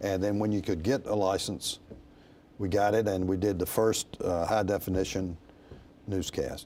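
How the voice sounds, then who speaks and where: Using monotone, flat intonation, a man with an American accent talks at a moderate pace and fairly low pitch in a dark, mellow tone, with very even loudness and long, frequent pauses. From North Carolina, Raleigh. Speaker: broadcasting executive. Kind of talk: interview. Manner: halting.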